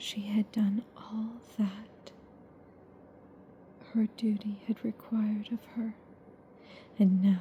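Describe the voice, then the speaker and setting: Soft-spoken and fairly high in pitch, a woman talks at a very slow pace with monotone, flat intonation and long, frequent pauses over noticeable background noise. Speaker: ASMR audiobook reader. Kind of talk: ASMR book reading for sleep. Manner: soft-spoken, lo-fi.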